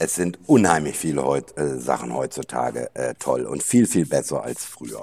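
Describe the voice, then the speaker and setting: A man talks with a very deep, low pitch and a dark, mellow tone, his intonation lively and his voice showing vocal fry. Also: moderate pace, hardly any pauses. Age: 60s. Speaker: gin distiller. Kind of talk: casual chat. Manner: halting, many filler sounds.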